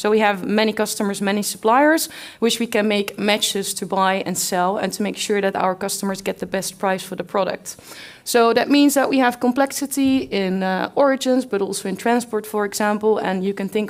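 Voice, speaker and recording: A woman of medium pitch with ordinary pitch variation and a Dutch accent. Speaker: company representative presenting at conference. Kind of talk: conference talk.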